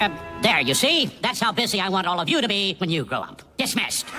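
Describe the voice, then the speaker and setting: A cartoonish character voice at a middle pitch and very fast pace over clear music in the background. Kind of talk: stiff formal speech. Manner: formal, curt.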